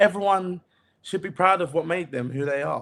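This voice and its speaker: A man talks with a Cockney accent. His pitch is high and his pace moderate. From East London, England. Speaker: TV executive producer. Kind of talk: interview conversation.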